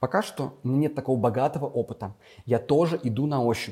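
Moderate pace, a dark, mellow tone and a somewhat breathy quality. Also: man. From Russia, Vladimir region (Gus-Khrustalny). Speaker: school teacher. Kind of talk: casual interview.

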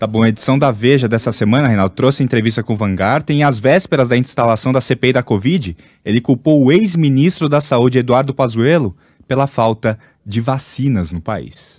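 In a plain, everyday voice, a man talks at medium pitch and a moderate pace with ordinary pitch variation, on a very clean recording with a silent background. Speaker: radio news anchor. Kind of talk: news reading, also reads ads. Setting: radio studio.

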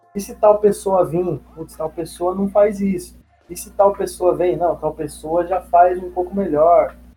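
Over music in the background, a man with a high voice speaks at a fairly slow pace with fairly even intonation and big swings in loudness. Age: 20s. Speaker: fitness coach. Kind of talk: casual interview.

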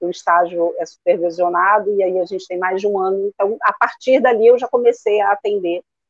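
This is a woman with an ordinary speaking voice. Her pitch is medium. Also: fairly even intonation, fairly quick pace, hardly any pauses. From Rio de Janeiro, Brazil. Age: 50s. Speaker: therapist. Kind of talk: live-stream interview.

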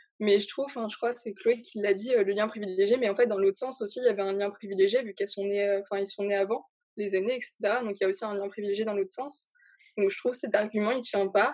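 A woman's very fast speech with fairly even intonation. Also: medium pitch for a woman. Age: young. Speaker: guest. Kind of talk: casual chat.

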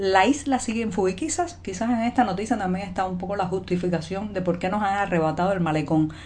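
A woman speaks at a fairly quick pace with a medium pitch and ordinary pitch variation. Her voice is somewhat breathy. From Cuba, Havana. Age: 40s. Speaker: journalist and video commentator. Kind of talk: news commentary monologue. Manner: conversational.

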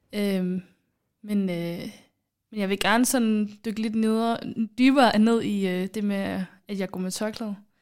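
On a very clean recording with a silent background, a woman at medium pitch talks very slowly with fairly even intonation and long, frequent pauses. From Somalia. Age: 20s. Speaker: podcast host, student. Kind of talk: casual chat.

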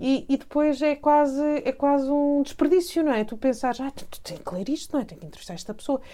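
A woman with a dark, mellow tone and high pitch talks at a fairly quick pace, her lively intonation paired with big swings in loudness. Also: hardly any pauses. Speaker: cultural journalist and broadcaster. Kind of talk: interview.

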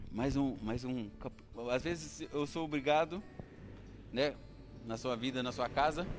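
Pausing long and often, a man speaks at a fairly slow pace with a medium pitch and ordinary pitch variation. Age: 20s. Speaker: lay preacher. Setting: church, live stream. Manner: animated, exhortative; colloquial, rhetorical questions, humorous asides.

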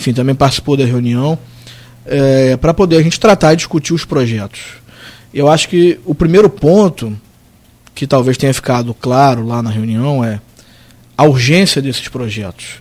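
Using lively intonation at a medium pitch, a man speaks at a moderate pace with long, frequent pauses. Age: 30s. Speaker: city attorney general. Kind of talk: radio interview.

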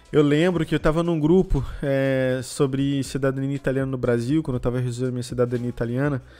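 Speaking at a very fast pace with hardly any pauses, a man at a medium pitch keeps a fairly even intonation over noticeable background noise. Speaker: podcast host. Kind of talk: casual chat.

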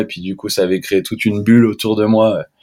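An ordinary speaking voice at a moderate pace, on a very clean recording with a silent background. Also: man. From Switzerland, French-speaking. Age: 20s. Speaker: freeskier. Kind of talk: casual chat.

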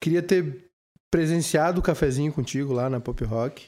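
Recorded very cleanly against a silent background, a man talks at a moderate pace with a fairly high pitch and ordinary pitch variation. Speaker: podcast host and radio presenter. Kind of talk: casual chat. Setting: drinking wine during recorded podcast.

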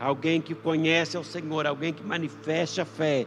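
Fairly high-pitched man against noticeable background noise. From Brazil, interior of Minas Gerais. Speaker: pastor. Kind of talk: sermon. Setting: livestreamed church service. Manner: halting, many fillers.

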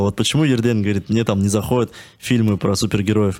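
On a very clean recording with a silent background, a man uses a normal speaking voice at medium pitch with ordinary pitch variation. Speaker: screenwriter. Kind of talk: casual chat.

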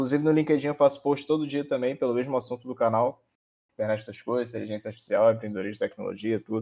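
A man talks in a dark, mellow tone with fairly even intonation. The recording is very clean, with a silent background. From interior of Rio de Janeiro state. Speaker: researcher and programming teacher. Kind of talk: casual chat.

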